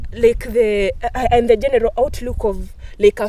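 A woman with an African accent speaks at a fairly slow pace with fairly even intonation. The sound is dry, with no echo. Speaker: discussion participant. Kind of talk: casual group discussion. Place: garden.

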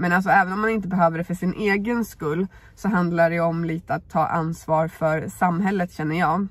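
A woman talks at a fairly low pitch in a somewhat breathy voice. Her pace is fairly quick and her intonation fairly even. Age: 30s. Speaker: YouTuber. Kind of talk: vlog. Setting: in a car.

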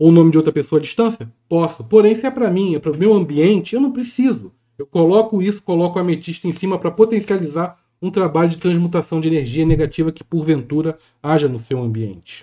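A man talks very fast in a high pitch with a dark, mellow tone. His intonation is lively, and the background is quiet. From Brazil. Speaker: spiritual teacher and YouTuber; spiritual teacher, YouTuber. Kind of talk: tutorial. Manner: casual, hesitant.

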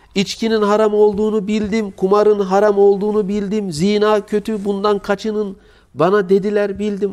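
A man's high-pitched voice at a fairly slow pace against a quiet background. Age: 40s. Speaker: Islamic preacher. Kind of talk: sermon. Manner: emotive. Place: home room. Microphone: lapel.

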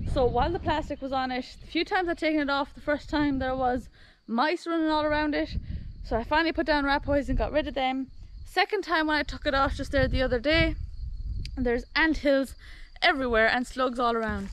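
A woman with a high voice and ordinary pitch variation is recorded with a dry sound, no echo, and light background noise. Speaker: farm vlogger. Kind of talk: casual vlog chat. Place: garden. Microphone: phone near.

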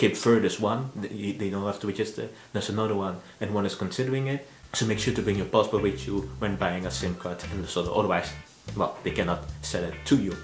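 Faint music and audible room echo surround a man with a fairly low pitch. He speaks at a fairly quick pace. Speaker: travel vlogger. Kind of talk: informational vlog talk. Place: home room.

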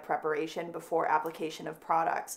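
At a very fast pace, a woman gets her words out. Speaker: nail educator. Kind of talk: tutorial. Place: studio.

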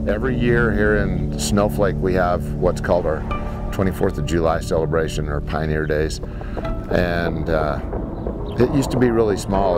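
A man is heard with a dry sound, no echo, and loud background noise. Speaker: rodeo announcer. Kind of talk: interview answer. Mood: warm, excited, nostalgic. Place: farm machine. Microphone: lapel.

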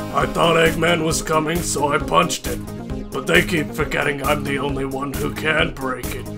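Someone does a put-on character voice over loud music in the background. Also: man, moderate pace. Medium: dub. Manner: panicked.

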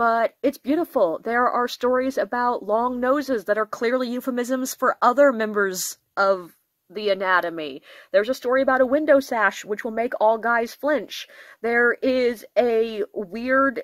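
A woman's high voice at a fairly slow pace with ordinary pitch variation, dry with no echo, over a quiet background. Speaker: book reviewer. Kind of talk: casual book review chat. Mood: enthusiastic, self-deprecating. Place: home room. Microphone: phone near.

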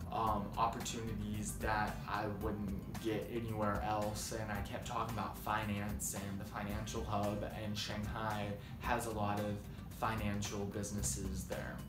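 Clear music plays behind a man speaking at a fairly slow pace. His pitch varies in an ordinary way. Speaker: student vlogger. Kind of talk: casual vlog chat. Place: home room. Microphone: phone near.

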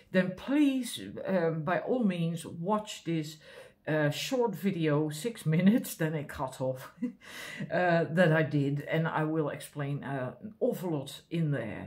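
Over a quiet background, a woman talks at a fairly slow pace with lively intonation. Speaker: card reader. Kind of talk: spiritual card reading, casual talk to viewers. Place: home room. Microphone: camera far.

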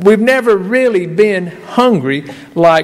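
Here a man speaks with ordinary pitch variation. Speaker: preacher. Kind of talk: sermon. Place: church. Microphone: podium.

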